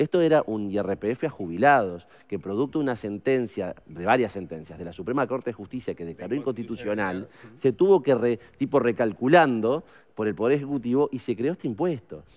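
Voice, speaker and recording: A man speaks with a Uruguayan accent at a fairly quick pace. His intonation is lively, and the background is quiet. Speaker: politician, member of parliament; politician. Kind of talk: radio interview. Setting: studio. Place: studio. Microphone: headset.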